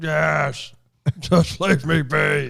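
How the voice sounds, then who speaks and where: A man puts on a growling character voice. His pitch sits fairly high. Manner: curt, dismissive.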